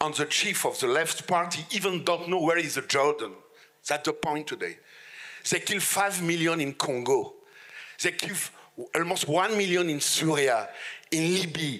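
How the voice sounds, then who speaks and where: With a strong French accent, a man speaks at a high pitch, leaving long, frequent pauses. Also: ordinary pitch variation, moderate pace. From France. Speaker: politician. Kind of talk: panel discussion. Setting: stage with audience. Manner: halting.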